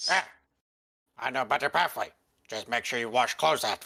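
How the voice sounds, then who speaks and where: A put-on character voice at a fairly quick pace. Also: man, medium pitch for a man. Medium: actual play. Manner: clipped broken English, drops articles.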